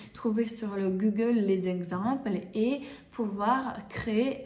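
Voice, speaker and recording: In a non-native accent, a woman speaks in a fairly high, somewhat breathy voice with ordinary pitch variation. Audible room echo is present. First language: not French (speaking French). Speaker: bridal hairdresser and makeup artist, trainer. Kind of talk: tutorial. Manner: halting, many hesitations; casual, conversational.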